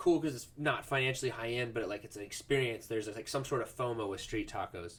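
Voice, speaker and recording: A man speaks very fast at a medium pitch, with hardly any pauses and ordinary pitch variation. His voice is somewhat breathy. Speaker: podcast host. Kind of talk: casual chat. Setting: home office.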